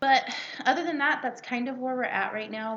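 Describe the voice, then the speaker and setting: Noticeable background noise runs under the recording. The speaker is a woman. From Mexican-American, California. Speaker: podcast co-host. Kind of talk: casual chat. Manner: animated.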